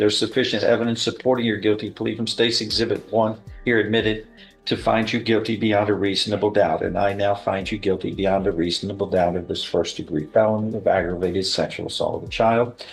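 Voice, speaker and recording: Music plays in the background while a man speaks at a very fast pace. His fairly low voice keeps a fairly even intonation. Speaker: judge presiding over a plea and sentencing hearing. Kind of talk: formal courtroom proceeding, reading plea admonishments and sentence.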